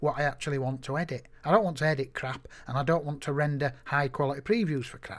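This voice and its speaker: On a very clean recording with a silent background, a man with an unremarkable speaking voice talks at a moderate pace and a fairly high pitch. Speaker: photographer teaching software. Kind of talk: screen-recorded tutorial. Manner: casual, conversational with fillers.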